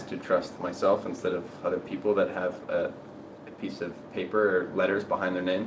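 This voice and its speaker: The pace is fairly quick. Audible room echo surrounds the voice. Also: man. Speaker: health and diet content creator. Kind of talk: live stream Q&A. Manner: fast; casual, conversational.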